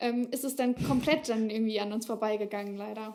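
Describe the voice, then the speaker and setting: A woman talks at a fairly quick pace with a fairly high pitch and a dark, mellow tone. Her intonation stays fairly even. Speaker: author. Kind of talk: casual chat. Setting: podcast.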